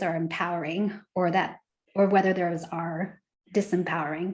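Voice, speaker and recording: With an American accent, a woman uses an ordinary speaking voice, fairly low in pitch, with fairly even intonation at a moderate pace. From United States. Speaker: education leader. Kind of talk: panel webinar introduction.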